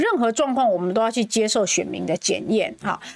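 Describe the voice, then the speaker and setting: Noticeable background noise sits behind a woman with a fairly high pitch. She talks at a moderate pace with lively intonation. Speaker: parliamentary candidate. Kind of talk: casual chat.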